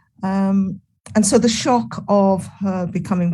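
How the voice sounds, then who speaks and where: Its tone is dark and mellow. There is a somewhat breathy quality to it. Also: woman. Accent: English. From England. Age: 70s. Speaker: retired nursing professor. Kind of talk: interview.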